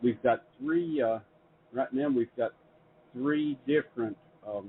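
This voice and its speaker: A man talks rather slowly in an American accent. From US South, Middle Tennessee. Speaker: publisher and show host. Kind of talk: interview conversation. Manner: halting with many repetitions.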